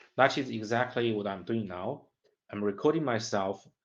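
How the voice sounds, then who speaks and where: A man talks with ordinary pitch variation and a Chinese accent. The background is quiet. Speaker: graduate student. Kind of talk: study vlog monologue. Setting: self-recording. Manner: halting, with repetitions.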